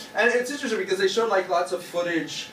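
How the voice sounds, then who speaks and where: A man speaks with an American accent and lively intonation. There is audible room echo and light background noise. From United States. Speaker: stand-up comedian. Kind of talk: stand-up comedy set. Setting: stage with live audience at open mic. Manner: animated, punchy joke delivery with shouts and sound effects; conversational with hesitant fillers, laughs at own jokes. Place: bar. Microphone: camera far.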